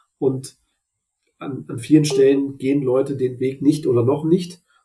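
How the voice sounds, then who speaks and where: Fairly high and somewhat breathy, a man's voice. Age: 30s. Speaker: finance content creator. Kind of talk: interview.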